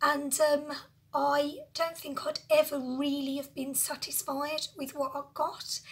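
A woman speaks in a high pitch at a very slow pace. Her intonation is monotone and flat. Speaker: lifestyle vlogger. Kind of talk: casual talk to camera. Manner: emotional, personal. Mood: emotional, reflective. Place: home room. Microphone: phone near.

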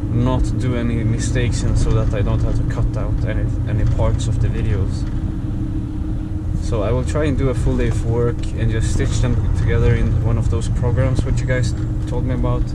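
A man speaks at a fairly quick pace. Loud background noise is present. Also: ordinary pitch variation. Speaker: truck driver vlogger. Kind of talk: casual vlog chat. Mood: relaxed, mildly annoyed. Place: car.

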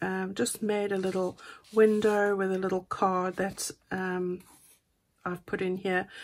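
A woman at a fairly slow pace, with fairly even intonation. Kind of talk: casual craft flip-through commentary.

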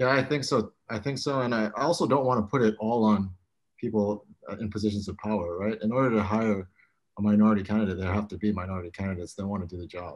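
A man speaks at a very fast pace with a fairly low pitch. His pitch variation is ordinary, and the background is quiet. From Hawaii. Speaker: apparel brand founder and former college baseball player. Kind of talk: roundtable discussion. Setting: video call. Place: home room. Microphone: video call.

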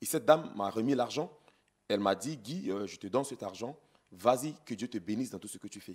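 Against a quiet background, a man talks at a fairly quick pace with lively intonation and big swings in loudness. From Central African Republic. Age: 30s. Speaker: politician; interview guest, politician. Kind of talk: interview. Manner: halting. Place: studio. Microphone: handheld.

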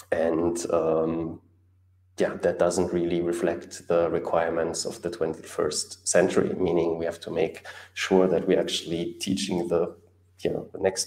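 A man with a German accent talks at a fairly slow pace, with audible room echo over a quiet background. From Germany. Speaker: YouTube host on Caribbean economics. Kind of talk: live stream talk. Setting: solo live stream. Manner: hesitant, many fillers. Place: home room.

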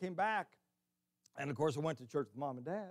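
Against a quiet background, a man talks with lively intonation. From Illinois. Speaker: preacher. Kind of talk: sermon. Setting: church. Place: church. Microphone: podium.

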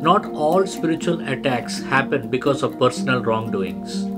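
Loud music plays behind a man who talks at a moderate pace. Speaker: preacher teacher. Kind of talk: sermon. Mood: earnest, calm teaching.

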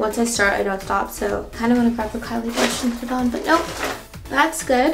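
A woman at a fairly quick pace with ordinary pitch variation, clear music in the background. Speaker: beauty vlogger. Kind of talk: casual makeup tutorial chat. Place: bathroom.

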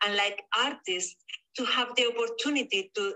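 A fairly high-pitched woman with a Spanish accent and a bright, sharp tone, at a moderate pace. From southern Spain. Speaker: painter. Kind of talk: interview. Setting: video call. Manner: halting.

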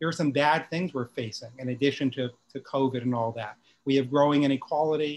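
A man at a moderate pace, with light background noise. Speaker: guest, professor. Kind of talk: panel discussion remarks. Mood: earnest, concerned. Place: home room. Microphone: video call.

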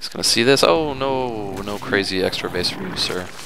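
A man speaks at a fairly quick pace with ordinary pitch variation. Noticeable background noise runs underneath. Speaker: gaming commentator playing Starcraft. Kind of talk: live gameplay commentary, narrating his own play as he goes. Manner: animated, excitable, fast, reacting out loud; casual, joking, self-talking, swears.

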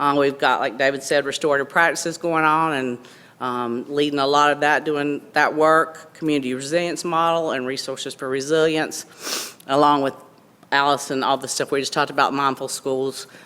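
A woman speaks at a fairly quick pace in a very deep, low voice. Her intonation is flat and monotone, with noticeable background noise. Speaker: school district staff presenter. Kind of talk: board meeting presentation. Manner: loud.

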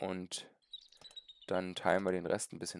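A man with a very deep, low pitch, dry sound with no echo, and light background noise. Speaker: gaming streamer. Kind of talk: live gameplay commentary with chat. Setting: live stream from home. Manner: halting, many fillers. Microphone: headset.

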